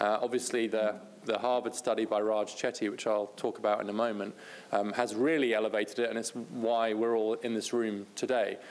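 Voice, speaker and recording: Delivered at a fairly quick pace, a man's speech has monotone, flat intonation and a British accent. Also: medium pitch for a man. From Britain. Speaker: policy researcher, speaker. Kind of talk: conference talk.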